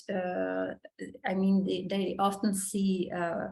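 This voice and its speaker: Spoken with a German accent, the voice holds a monotone, flat intonation. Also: woman. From Germany. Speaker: model. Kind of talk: interview. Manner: halting.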